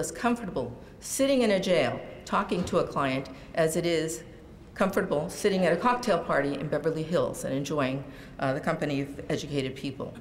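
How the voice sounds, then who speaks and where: A woman speaks at a fairly quick pace in a fairly low voice, with audible room echo around her. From California (born in rural Jalisco, Mexico). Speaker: lawyer. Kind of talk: public speech. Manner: halting.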